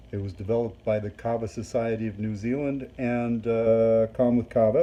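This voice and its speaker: At a moderate pace, a man uses a normal speaking voice at medium pitch. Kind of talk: product review talk to camera.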